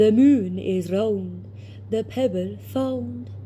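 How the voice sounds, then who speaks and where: A put-on character voice pitched low to middle, swinging very widely in pitch at a very slow pace over clear background noise. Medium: read story.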